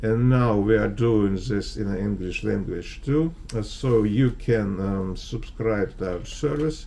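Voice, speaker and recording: A man's dark, mellow voice at a very slow pace, with audible room echo. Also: ordinary pitch variation, hardly any pauses. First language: Russian. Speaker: investment advisor. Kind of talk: market analysis video. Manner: halting, many fillers.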